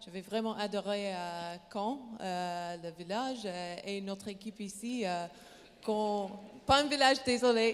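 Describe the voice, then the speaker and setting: Over noticeable background noise, a woman with an English accent talks at a fairly slow pace in a medium pitch, with ordinary pitch variation and big swings in loudness. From Canada, British Columbia. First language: English (speaking French). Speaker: professional basketball player. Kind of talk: panel discussion. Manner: halting, many hesitations.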